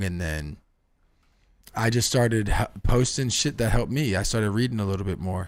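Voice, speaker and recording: A man with a fairly low voice speaks at a fairly quick pace in a very clean recording with a silent background. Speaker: podcast guest. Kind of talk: casual chat. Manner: casual slangy with many fillers.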